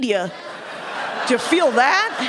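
A woman with an American accent speaks at a moderate pace with very wide pitch swings, and audible room echo surrounds her voice. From US Midwest (Wisconsin). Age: middle-aged. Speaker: comedian. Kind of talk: stand-up. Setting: stage with audience.

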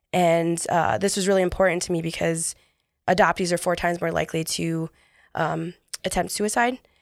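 A woman with an American accent speaks at a fairly quick pace in an ordinary speaking voice, fairly low in pitch with fairly even intonation, on a very clean recording with a silent background. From US, New York. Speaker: author and entrepreneur. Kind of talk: interview.

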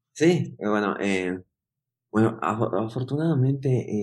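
The voice belongs to a man with a fairly low pitch. The background is quiet. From Bolivia, Yungas region. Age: 30s. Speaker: coffee producer and roaster. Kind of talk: interview. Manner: halting, many fillers and repetitions.

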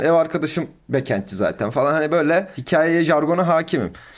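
A man talks at a fairly quick pace with vocal fry. The recording is very clean, with a silent background. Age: 20s. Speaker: growth marketing consultant. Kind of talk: casual interview. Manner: frequent filler hesitations.

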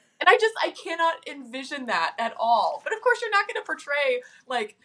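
Raising and projecting her voice, a woman with an American accent speaks at a moderate pace with very wide pitch swings. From Nashville, Tennessee, US South. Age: 30s. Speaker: guest, interior designer. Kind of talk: casual chat.

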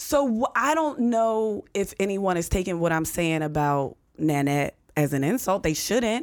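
A woman with an American accent speaks at a fairly slow pace in a medium pitch, her loudness very even and her pitch swinging very widely, on a very clean recording with a silent background. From US, western Pennsylvania (near Pittsburgh). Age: middle-aged. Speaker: stand-up comedian and sports radio host. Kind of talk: casual chat.

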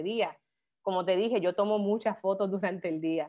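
A woman is speaking. Her pace is fairly quick. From Puerto Rico, Carolina. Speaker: photographer and photography professor. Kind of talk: interview. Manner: halting, many repetitions.

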